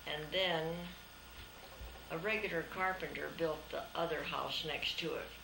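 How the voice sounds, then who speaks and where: With an American accent, a woman speaks at a fairly slow pace with long, frequent pauses, amid audible room echo and noticeable background noise. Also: fairly low pitch for a woman. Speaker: grandmother telling family history. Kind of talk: casual family interview.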